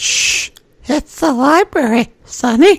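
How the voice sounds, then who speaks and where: In a put-on character voice, the speaker talks very slowly at a high pitch. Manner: hushed, shushing, prim.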